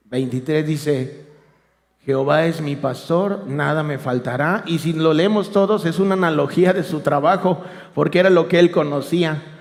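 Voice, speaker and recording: There is audible room echo as a high-voiced man speaks at a fairly slow pace with fairly even intonation. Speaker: lay preacher. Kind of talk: sermon. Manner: soft-spoken. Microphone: too quiet.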